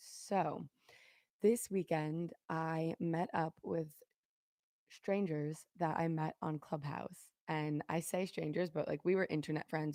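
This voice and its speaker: This voice has a dark, mellow tone and fairly even intonation, recorded dry and close with no echo. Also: woman. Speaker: podcast host and vlogger. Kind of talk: live stream podcast, casual solo chat. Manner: casual, rambling.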